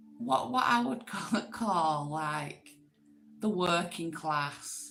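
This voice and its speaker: A woman speaks in a northern English accent, her pitch fairly low and her intonation lively. She talks at a very slow pace with music in the background. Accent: northern English accent, classed as common. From northwest England, Manchester. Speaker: YouTube livestream host. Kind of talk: casual chat. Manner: slangy, chatty.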